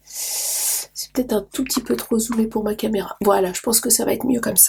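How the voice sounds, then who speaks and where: A woman speaks at a moderate pace with a fairly high pitch and ordinary pitch variation. Vocal fry runs through her voice. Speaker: craft youtuber. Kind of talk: tutorial. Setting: home studio. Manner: hesitant, many fillers.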